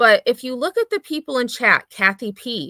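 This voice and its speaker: A woman's raised, projected voice, bright and sharp in tone, moves at a moderate pace with very wide pitch swings in a dry, close sound with no echo. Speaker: drama commentary YouTuber. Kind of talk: casual livestream chat.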